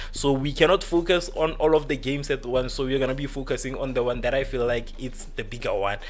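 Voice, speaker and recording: The voice moves at a fairly quick pace with audible room echo. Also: man. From South Africa, North West province. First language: a South African language other than English. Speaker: football livestream host. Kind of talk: live football watchalong chat. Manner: casual, filler-heavy.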